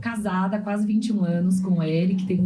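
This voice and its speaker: Audible room echo and noticeable background noise surround a woman who talks at a medium pitch and a moderate pace. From Brazil, Pará and Goiânia. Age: 40s. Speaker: customer experience specialist. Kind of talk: podcast interview.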